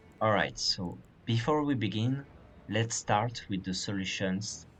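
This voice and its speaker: A man with a French accent, fairly low in pitch and somewhat breathy, with ordinary pitch variation at a very slow pace. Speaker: gaming guide creator. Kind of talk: game tutorial narration.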